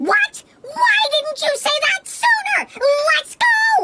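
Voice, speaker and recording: A cartoonish character voice at an extremely high pitch drags along at a very slow pace. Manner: expressive, comically dramatic.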